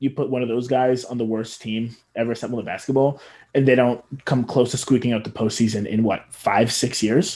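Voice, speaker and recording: A man talks with fairly even intonation. His is an ordinary speaking voice, pitched in the medium range. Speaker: sports podcast host. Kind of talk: casual sports chat. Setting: podcast recording.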